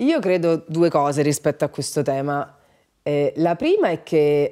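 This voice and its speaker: Over a quiet background, a woman speaks very slowly in a very deep, low pitch with a dark, mellow tone. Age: 40s. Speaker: writer and radio presenter; radio presenter. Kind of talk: casual interview chat. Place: home room.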